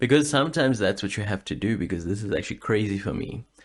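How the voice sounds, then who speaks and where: Against a quiet background, a medium-pitched man speaks with lively intonation and vocal fry. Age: 30s. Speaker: podcast host; aspiring voice actor and singer. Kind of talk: casual podcast monologue. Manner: hesitant, rambling.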